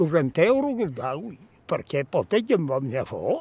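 The speaker has a Lombard accent and a fairly slow pace with very wide pitch swings. The sound is dry, with no echo. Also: man. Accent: Brescian dialect. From Northern Italy, Brescia area. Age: old. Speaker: mountain farmer. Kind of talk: interview answer. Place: open country.

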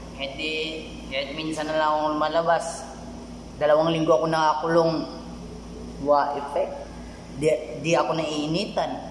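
A man at a moderate pace with long, frequent pauses, light background noise and audible room echo. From Philippines. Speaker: vlogger. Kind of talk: casual vlog monologue. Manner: animated. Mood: playful, joking. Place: home room. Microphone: phone near.

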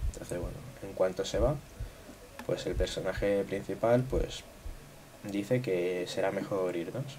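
Long, frequent pauses at a fairly slow pace, with ordinary pitch variation and noticeable background noise. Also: man, fairly low pitch for a man. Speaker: gaming youtuber. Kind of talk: gameplay commentary. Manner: casual, filler-heavy.

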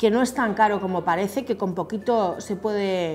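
A woman's slightly mellow voice at medium pitch, at a moderate pace with ordinary pitch variation, faint music in the background

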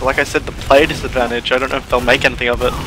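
Noticeable background noise is present throughout. The speaker is a man with a medium pitch. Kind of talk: live esports commentary. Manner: measured, analytical, hesitant.

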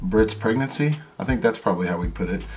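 A man is speaking. Faint music can be heard in the background. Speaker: family vlogger. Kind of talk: casual vlog chat. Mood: excited, telling news. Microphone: phone near.

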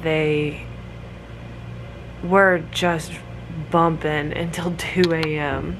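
A woman speaks with fairly even intonation against light background noise. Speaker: vlogger. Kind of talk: casual vlog chat. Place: home room. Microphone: phone near.

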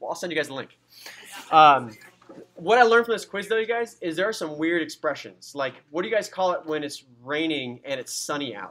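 Speaking with a Californian accent, a man keeps a fairly quick pace. His pitch is fairly high and his intonation lively. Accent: Californian American English. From US, San Diego, California. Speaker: anatomy and physiology instructor. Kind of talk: lecture. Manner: casual, conversational.

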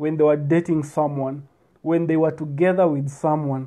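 The background is quiet as a man speaks. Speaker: speaker. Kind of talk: casual advice talk. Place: home room. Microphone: earbuds.

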